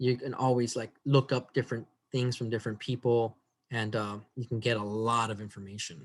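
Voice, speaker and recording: A man speaks at a fairly quick pace. His intonation is monotone and flat. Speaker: biology instructor. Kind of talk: lecture.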